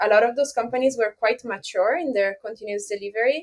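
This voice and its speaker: Speaking with an Italian accent, a woman uses a fairly high pitch and ordinary pitch variation. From Italy. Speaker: software consultant and author. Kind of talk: podcast interview.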